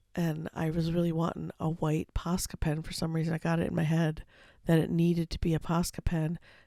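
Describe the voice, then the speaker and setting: A woman's fairly low voice carries a dark, mellow tone and a monotone, flat intonation at a fairly quick pace. It sounds dry and close, with no echo. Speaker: art tutorial creator. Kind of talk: voiceover commentary over painting time lapse. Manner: hesitant, many fillers.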